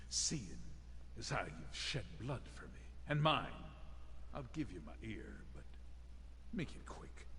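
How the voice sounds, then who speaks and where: A gruff, put-on character voice moves at a fairly slow pace. Clear background noise runs underneath. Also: man. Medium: video game. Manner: gruff, curt.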